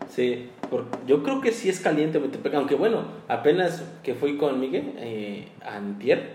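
A man speaks very slowly in a fairly high pitch with very wide pitch swings, over noticeable background noise and audible room echo. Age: 20s. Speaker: podcast co-host. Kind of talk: casual chat.

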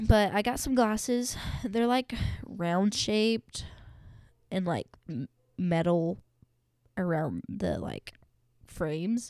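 A woman's medium-pitched voice, very slow, with lively intonation and long, frequent pauses. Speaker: solo podcaster and barista. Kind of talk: casual solo chat. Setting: home, at desk. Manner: breathless, big breaths after talking.

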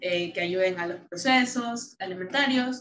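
A woman speaks at a fairly slow pace with ordinary pitch variation. Her tone is bright and sharp. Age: 20s. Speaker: founding member of a youth service club. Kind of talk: casual interview.

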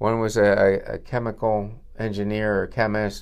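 A man with an American accent, fairly low in pitch and monotone, flat in intonation, over a quiet background. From northwestern Pennsylvania, US. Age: 60s. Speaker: dentist. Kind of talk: casual interview. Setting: dental office reception room.

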